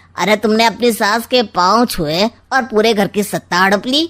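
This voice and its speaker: A woman puts on a cartoonish character voice, fairly high-pitched and at a moderate pace. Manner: sly, smug, mocking.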